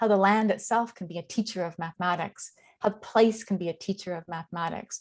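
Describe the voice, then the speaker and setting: A woman speaks at a moderate pace with ordinary pitch variation. She has an unremarkable speaking voice. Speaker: education professor. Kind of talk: online information session presentation.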